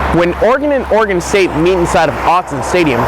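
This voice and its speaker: A man's high-pitched, fairly quick speech with very wide pitch swings over noticeable background noise. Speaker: sports reporter and anchor. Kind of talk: TV sports news reporter voiceover.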